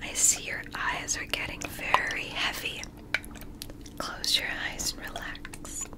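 Whispering at a very slow pace, a soft-spoken woman uses a soothing tone over loud background noise. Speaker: relaxation video host. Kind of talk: soft-spoken roleplay. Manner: soft soothing ASMR whisper. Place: home room.

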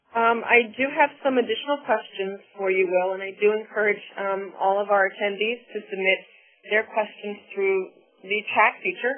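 A woman at a medium pitch, moderate pace and fairly even intonation, with noticeable background noise. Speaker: webinar moderator. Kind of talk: formal webinar moderation. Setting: webinar audio broadcast.

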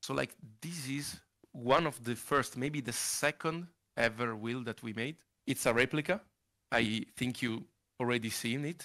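A man with an Italian accent, bright and sharp in tone, at a fairly slow pace with long, frequent pauses, ordinary pitch variation, and a quiet background. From Italy, Monza. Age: 20s. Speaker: sim racing wheel maker. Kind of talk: interview. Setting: video call. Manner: halting. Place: home room. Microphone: headset.

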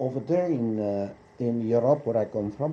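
A man speaks at a fairly slow pace with lively intonation over light background noise. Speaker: interviewee. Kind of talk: interview answer. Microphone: old recording.

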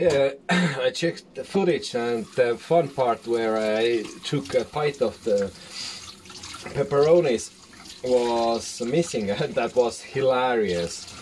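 A man speaks at a very slow pace with a non-native accent and lively intonation. Light background noise can be heard. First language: not English. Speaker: YouTuber making a cooking video. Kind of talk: casual vlog tutorial. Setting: home kitchen. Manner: hesitant, many fillers. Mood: playful, amused. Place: kitchen. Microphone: phone near.

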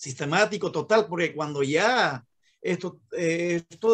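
This man's voice sits high in pitch and moves through ordinary pitch variation. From Bolivia. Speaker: law student. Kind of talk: class discussion. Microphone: video call.

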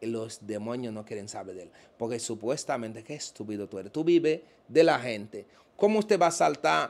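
The intonation is lively. A man talks at a moderate pace. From Dominican Republic. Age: 30s. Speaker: self-described witch doctor; interview guest. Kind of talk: interview. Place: home room. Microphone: handheld.

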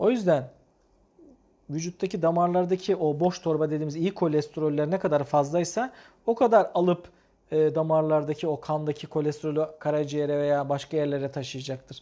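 A man with a fairly high pitch and a dark, mellow tone talks at a moderate pace with ordinary pitch variation over a quiet background. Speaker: cardiologist. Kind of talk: live medical Q&A broadcast. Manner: explanatory, hesitant fillers. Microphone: lapel.

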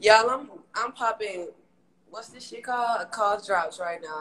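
Someone speaks in an animated tone at a moderate pace over noticeable background noise. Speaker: social media influencer. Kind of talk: casual chat.

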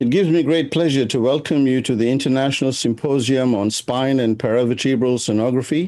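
With a dark, mellow tone, a man talks at a fairly quick pace with ordinary pitch variation and hardly any pauses, against a quiet background. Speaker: symposium host. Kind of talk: formal welcome speech. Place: home room. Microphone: webcam.

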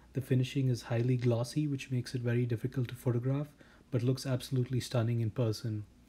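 A man speaks very fast in a dark, mellow, somewhat breathy tone. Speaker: watch reviewer. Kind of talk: product review. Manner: flat, unenthusiastic.

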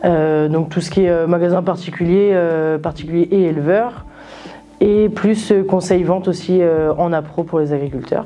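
A woman speaks in a normal speaking voice, fairly low-pitched, at a fairly slow pace with fairly even intonation. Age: 20s. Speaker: former agricultural student, farm cooperative sales advisor; farm cooperative sales advisor. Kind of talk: testimony. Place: classroom.

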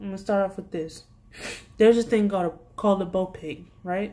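A woman with an American accent talks at a fairly quick pace in a dark, mellow tone, her loudness swinging widely. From US. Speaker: youtube vlogger and retail worker. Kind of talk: angry rant about work pet peeves. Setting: video blog. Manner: exasperated, sassy, informal. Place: home room. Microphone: phone near.

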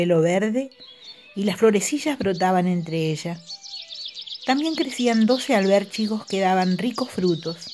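The clip features an unforced reading voice.

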